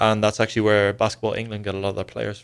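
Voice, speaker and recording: In a very clean recording with a silent background, a man speaks very fast with a fairly low pitch and monotone, flat intonation. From Dublin, Ireland. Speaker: college basketball player. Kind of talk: radio interview.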